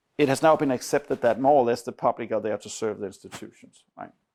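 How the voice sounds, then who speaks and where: In a Danish accent, the speaker goes at a fairly quick pace with fairly even intonation, the sound dry and close with no echo on a very clean recording with a silent background. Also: man. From Denmark. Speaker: academic researcher. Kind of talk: seminar lecture. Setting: university seminar room with audience. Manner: conversational, with frequent fillers.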